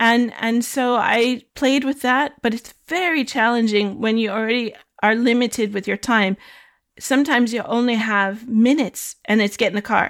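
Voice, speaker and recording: In a very clean recording with a silent background, a woman with an American accent speaks at a moderate pace and a fairly high pitch with fairly even intonation. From United States. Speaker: photographer. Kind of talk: interview. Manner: halting, many repeated words.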